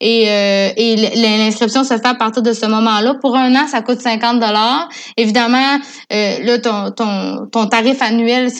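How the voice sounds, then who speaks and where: A woman with a fairly high voice speaks very slowly, her intonation flat and monotone. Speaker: communications coordinator for a salmon fishing federation. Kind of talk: casual interview chat.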